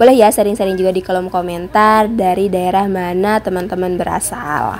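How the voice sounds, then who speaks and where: Fairly quick speech from a woman with fairly even intonation, music in the background. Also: medium pitch for a woman. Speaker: housewife vlogger. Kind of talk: vlog voiceover. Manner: casual chatty.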